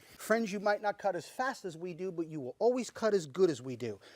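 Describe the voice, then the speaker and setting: At a fairly quick pace, a man speaks in an upbeat tone at a high pitch, the sound dry and close with no echo. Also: very clean recording, silent background. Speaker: chef. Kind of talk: infomercial product demonstration. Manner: fast, upbeat, salesman patter.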